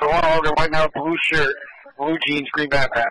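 With an American accent and a bright, sharp tone, a man speaks at a fairly high pitch with little pitch movement, recorded dry and close with no echo. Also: moderate pace.

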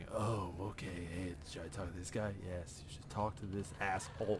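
A man does a put-on character voice against loud background noise. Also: moderate pace. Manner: cocky, back-talking.

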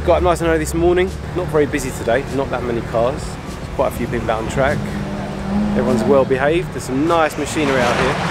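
A man talks at a very fast pace with ordinary pitch variation. The sound is dry with no echo, and music plays in the background. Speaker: car vlogger. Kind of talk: casual vlog chat. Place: street. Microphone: phone near.

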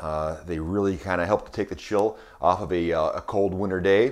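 A man speaks with a very deep, low pitch. The background is quiet. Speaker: wine shop host. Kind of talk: product tasting presentation. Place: kitchen. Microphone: webcam.

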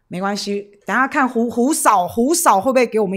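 Over a quiet background, a woman speaks at a moderate pace, animated in tone, with lively intonation. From Taiwan. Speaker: political livestream host. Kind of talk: livestream chat with viewers. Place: studio. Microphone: studio mic.

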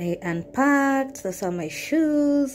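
Delivered at a very slow pace, the speech moves through very wide pitch swings. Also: woman. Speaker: travel vlogger. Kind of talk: casual vlog chat. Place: home room. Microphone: phone near.

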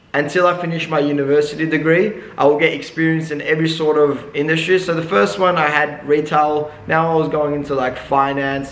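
Over audible room echo, a man talks at a fairly quick pace with hardly any pauses and fairly even intonation. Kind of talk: casual vlog chat. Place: shop.

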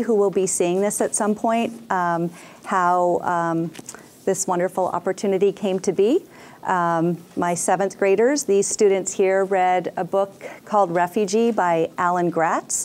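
A woman's plain, everyday voice, medium in pitch, at a moderate pace with fairly even intonation and very even loudness. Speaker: schoolteacher. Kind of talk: classroom introduction and moderated Q&A. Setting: school classroom. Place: classroom.

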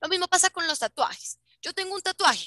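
A woman speaks in a raised, projected voice. Her tone is bright and sharp, and the sound is dry and close with no echo. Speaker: flight attendant. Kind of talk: educational talk over video call.

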